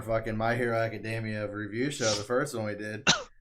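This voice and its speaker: A man talks at a fairly quick pace with fairly even intonation. Noticeable background noise is present. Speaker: podcast co-host. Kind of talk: casual chat. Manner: fast.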